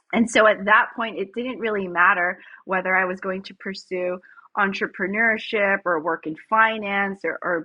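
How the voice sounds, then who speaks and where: With a Filipino accent, a woman speaks at a moderate pace and medium pitch, her pitch varying in an ordinary way. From United States. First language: Tagalog. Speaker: startup founder and CEO. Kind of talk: podcast interview.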